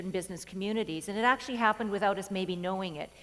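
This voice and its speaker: A woman speaks with a Canadian accent. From rural Canada. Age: 40s. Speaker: keynote speaker. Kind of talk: keynote speech. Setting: stage with audience. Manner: fast; animated.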